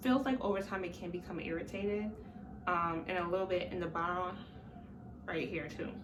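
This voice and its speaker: A woman's medium-pitched voice with ordinary pitch variation at a moderate pace, plus noticeable background noise and audible room echo. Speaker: vlogger. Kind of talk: casual vlog. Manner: hesitant, many fillers.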